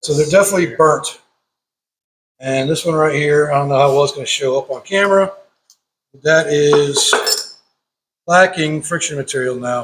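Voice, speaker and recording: Pacing is moderate, with long, frequent pauses. The man's fairly high voice has ordinary pitch variation. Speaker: car hobbyist YouTuber. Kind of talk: workshop tutorial. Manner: halting.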